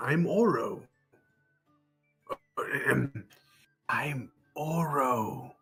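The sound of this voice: Faint music plays behind a man whispering in a raspy, put-on character voice.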